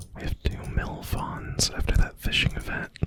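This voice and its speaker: Someone is whispering in a relaxed tone. Noticeable background noise can be heard. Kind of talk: casual talk to camera while gaming. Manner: soft-spoken, relaxed.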